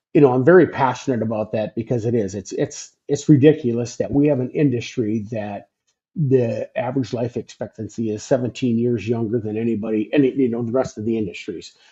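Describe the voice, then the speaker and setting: A man's somewhat breathy, dark, mellow voice at medium pitch, fairly quick in pace with hardly any pauses and ordinary pitch variation. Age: 60s. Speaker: former truck driver, sleep health business developer. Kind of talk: interview. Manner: halting, many repetitions.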